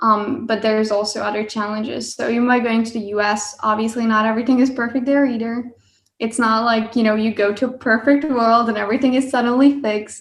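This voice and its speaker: Speaking very fast, a woman has a Hungarian accent and a fairly high pitch. Her intonation is flat and monotone. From Hungary (Budapest). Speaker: engineering student. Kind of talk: podcast interview.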